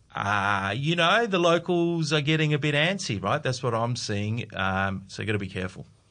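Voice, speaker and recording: A man with an Australian accent speaks at a moderate pace with hardly any pauses, his medium-pitched voice bright and sharp and swinging very widely in pitch, over a quiet background. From South Australia, Adelaide. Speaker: investment fund executive. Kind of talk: casual chat.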